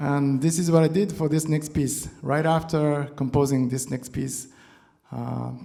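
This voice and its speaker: A man with a non-native accent speaks at a moderate pace in a fairly high pitch, his tone dark and mellow. His intonation stays fairly even, and the room echo is audible. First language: not English. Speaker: guitarist. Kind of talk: on-stage talk between songs. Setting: stage with audience. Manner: halting.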